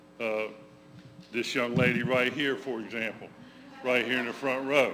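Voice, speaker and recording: In an American accent, a man speaks at a medium pitch with monotone, flat intonation, amid audible room echo and noticeable background noise. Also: moderate pace. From Georgia, US South. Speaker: memoir author. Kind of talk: talk to congregation. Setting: church room with audience, livestreamed. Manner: loud.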